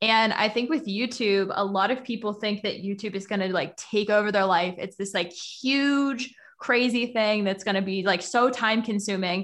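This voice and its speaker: An ordinary speaking voice from a woman, fairly high in pitch with ordinary pitch variation, at a moderate pace with hardly any pauses. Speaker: YouTube marketing coach. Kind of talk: casual interview chat.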